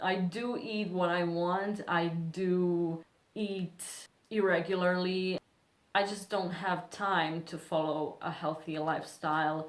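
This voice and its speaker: The speaker talks at a very slow pace in a non-native accent, with monotone, flat intonation. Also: woman, fairly low pitch for a woman. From Serbia. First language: Serbian. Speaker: beauty vlogger. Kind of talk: casual vlog talk.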